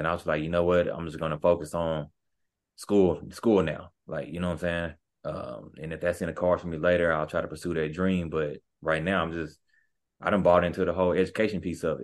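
Over a quiet background, a man talks fairly quickly with a very deep, low pitch and an American accent. His intonation stays monotone and flat. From Texas, Wichita Falls. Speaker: sports agent, former basketball player. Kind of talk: casual interview.

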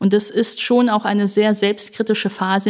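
A woman speaks at a moderate pace. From Germany. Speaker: politician and publicist. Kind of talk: panel discussion.

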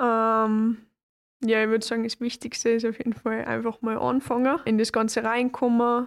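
A woman with a Salzburg accent and a fairly high pitch, at a moderate pace in a monotone, flat intonation, in a very clean recording with a silent background. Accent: Austrian German (Salzburg). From Austria, Salzburg. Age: 20s. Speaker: kickboxer. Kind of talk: interview.

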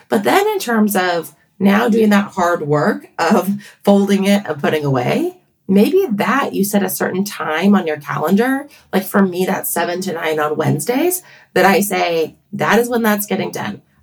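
A woman with a plain, everyday voice speaks at a moderate pace. Her medium pitch rises and falls with lively intonation. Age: 40s. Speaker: pediatrician and author. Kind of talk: casual interview.

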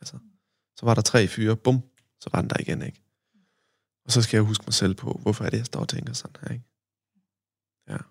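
The speaker talks at a fairly quick pace with vocal fry and ordinary pitch variation. Long, frequent pauses break up the speech. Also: man, medium pitch for a man, big swings in loudness, dry, close sound with no echo. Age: 20s. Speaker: guest, assault survivor and trauma practitioner. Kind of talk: casual podcast interview, personal storytelling.

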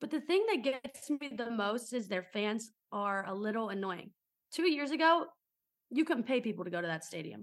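The voice moves at a moderate pace through very wide pitch swings. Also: woman, fairly high pitch for a woman. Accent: American. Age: 20s. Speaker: sports podcast co-host. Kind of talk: casual chat.

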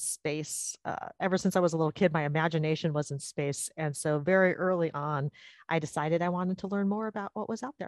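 In a dry, close recording with no echo and a quiet background, a woman speaks at a fairly low pitch with ordinary pitch variation. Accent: American. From California, Sacramento area. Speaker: astronomy professor. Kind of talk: interview. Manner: hesitant, many fillers.

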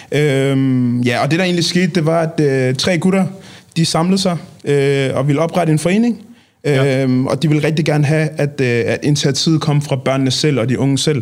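A man speaks at a fairly high pitch and a moderate pace. His loudness stays very even, with ordinary pitch variation. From Copenhagen, Nordvest. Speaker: street football club member. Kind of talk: casual interview. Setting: studio. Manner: halting.

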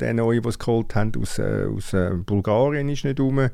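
A man's voice with a dark, mellow tone comes through on a very clean recording with a silent background. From Zurich/Winterthur region, Switzerland. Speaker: football journalist. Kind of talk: casual chat.

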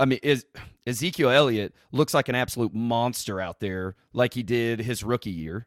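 On a very clean recording with a silent background, a man talks in an unremarkable speaking voice. His pitch is medium with ordinary pitch variation, his pace is moderate, and the sound is dry and close with no echo. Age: 20s. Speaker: sports podcaster. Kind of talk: interview.

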